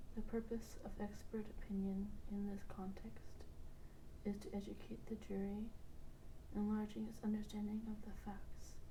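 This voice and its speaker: A soft-spoken woman talks at a moderate pace with long, frequent pauses. Noticeable background noise runs underneath. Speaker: bedtime reading host. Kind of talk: sleep reading of a law textbook. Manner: soft, monotone.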